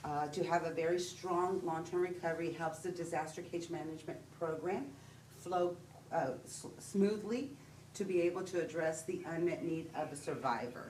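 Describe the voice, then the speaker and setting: A woman with a Texan accent speaks in a fairly low voice at a moderate pace, with fairly even intonation. Room echo is audible. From Texas. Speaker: disaster case manager. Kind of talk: presentation at public meeting. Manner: hesitant, with fillers.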